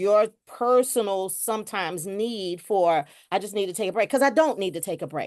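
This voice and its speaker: A woman's unremarkable speaking voice at a medium pitch, with lively intonation. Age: 60s. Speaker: webinar participant in peer support training. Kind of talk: casual discussion in a virtual training.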